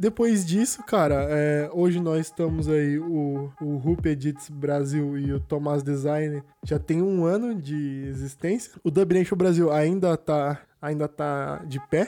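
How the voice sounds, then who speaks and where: A man with a fairly high pitch and a dark, mellow tone speaks at a very slow pace with hardly any pauses and ordinary pitch variation. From Brazil, interior of São Paulo state (Cosmópolis, near Campinas). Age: 20s. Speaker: basketball podcaster. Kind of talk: casual solo podcast monologue. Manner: casual, slangy, with hesitations.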